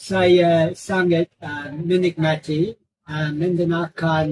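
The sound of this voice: A man speaks slowly with fairly high pitch and fairly even intonation. His tone is slightly mellow with a slightly husky edge.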